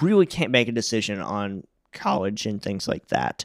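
Heard dry and close with no echo, a man with a Southern US accent comes through on a very clean recording with a silent background. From US South, Jackson, Tennessee. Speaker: podcast co-host telling his life story. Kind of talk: personal life story in casual chat.

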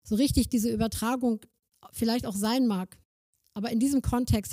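A somewhat breathy woman speaks at a fairly quick pace with a fairly high pitch. Her tone is dark and mellow, with ordinary pitch variation. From northern Germany, Schleswig-Holstein (Kreis Plön). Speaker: missionary organisation worker. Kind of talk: sermon-style talk.

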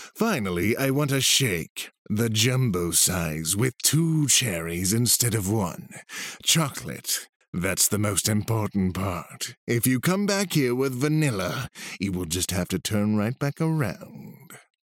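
At a fairly slow pace, a put-on character voice moves through very wide pitch swings. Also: man, medium pitch for a man. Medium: read story. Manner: eccentric, scatterbrained; gruff, blunt, demanding.

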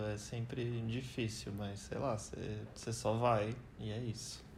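A man's very slow speech at a medium pitch, with vocal fry, ordinary pitch variation and audible room echo. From Brazil. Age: 20s. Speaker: biomedical scientist, host's boyfriend. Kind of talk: casual chat.

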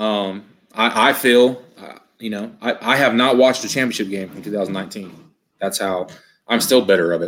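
In a plain, everyday voice, a man with a fairly low pitch speaks at a moderate pace with fairly even intonation. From northern California. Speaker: football coach. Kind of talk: casual interview.

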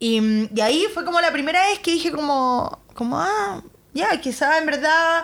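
Speaking at a fairly slow pace in a Chilean accent, the voice moves through very wide pitch swings. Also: woman. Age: 30s. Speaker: lawyer, model and influencer. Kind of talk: casual interview chat.

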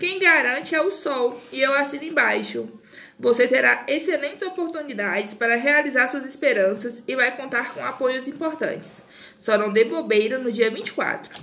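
Over noticeable background noise, a woman projects a high, raised voice with lively intonation. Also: moderate pace. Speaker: podcaster. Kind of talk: casual chat; reading aloud.

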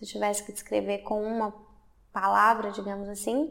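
This woman's voice sits fairly high. It has a bright, sharp tone. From Brazil, Belo Horizonte, Minas Gerais. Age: 30s. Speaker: artist and film student. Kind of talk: interview. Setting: art university building.

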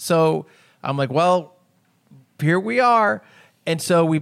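A man's fairly high-pitched voice in a very clean recording with a silent background. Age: 30s. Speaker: podcast co-host. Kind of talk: casual chat.

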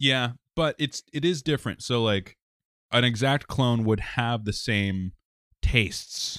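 A man with an ordinary speaking voice talks fairly slowly at a medium pitch, with ordinary pitch variation and very even loudness. The sound is dry and close, with no echo. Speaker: podcast host. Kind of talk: casual banter podcast chat.

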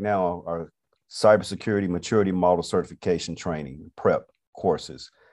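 A man with an American accent talks in an ordinary speaking voice at a moderate pace with ordinary pitch variation. The background is quiet. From US South, Atlanta, Georgia. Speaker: cybersecurity business owner. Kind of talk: casual interview.

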